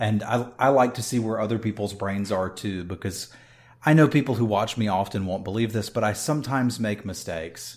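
Here is a man with a plain, everyday voice and fairly low pitch. He speaks at a fairly quick pace with ordinary pitch variation. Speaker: podcast co-host and game streamer. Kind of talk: casual chat.

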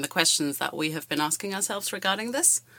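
A woman talks at a very fast pace in a bright, sharp tone. The recording is very clean, with a silent background. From Germany. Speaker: student podcaster. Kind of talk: casual academic discussion.

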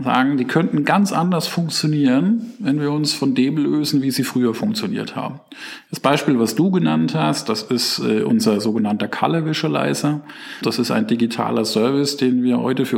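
Over noticeable background noise, a man talks at a moderate pace and medium pitch with lively intonation. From Germany, Palatinate. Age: 40s. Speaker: chief digital officer. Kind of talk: interview.

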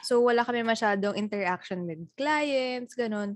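Against a quiet background, a woman with a plain, everyday voice speaks at a fairly slow pace with ordinary pitch variation. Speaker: podcast co-host. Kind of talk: casual chat.

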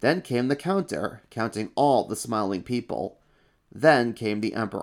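Text read aloud in a natural voice

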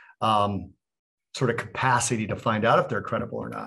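An unremarkable speaking voice from a man, medium in pitch, at a moderate pace against a quiet background. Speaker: podcast co-host. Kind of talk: casual interview.

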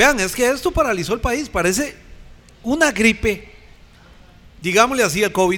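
A man's high-pitched voice in a Costa Rican accent, lively in intonation and moderate in pace. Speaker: podcast host. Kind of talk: panel discussion; show intro.

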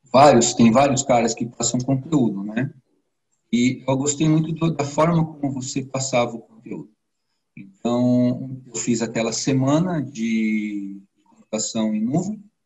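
A man speaks fairly slowly at medium pitch with ordinary pitch variation. His voice is somewhat breathy. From São Paulo, Brazil. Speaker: IT professional, course student. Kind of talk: interview.

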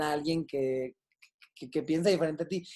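Fairly high-pitched speech from a man, dark and mellow in tone. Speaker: comedian and television writer. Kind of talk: casual chat.

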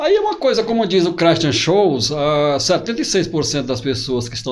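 A man's fairly high voice at a moderate pace, with audible room echo and noticeable background noise. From Piauí, Brazil (Altos, near Teresina). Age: 40s. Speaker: pastor and author. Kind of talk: interview.

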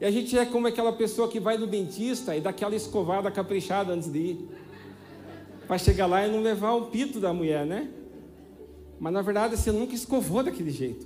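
An animated speaker moves at a fairly quick pace with ordinary pitch variation but long, frequent pauses. Music plays in the background, and the room echo is audible. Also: man, high pitch for a man. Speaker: guest preacher. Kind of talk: sermon. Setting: church stage with audience.

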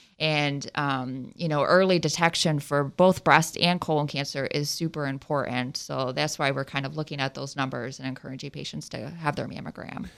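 Very deep and low for a woman, her voice carries vocal fry and an American accent, with fairly even intonation and hardly any pauses. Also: moderate pace. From southwest Ohio. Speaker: surgeon. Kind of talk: radio interview. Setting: radio studio.

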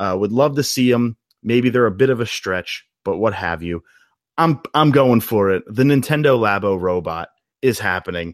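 An unremarkable speaking voice with lively intonation moves at a moderate pace in a dry, close sound with no echo. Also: man, medium pitch for a man. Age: 30s. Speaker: video game commentator. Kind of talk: casual chat.

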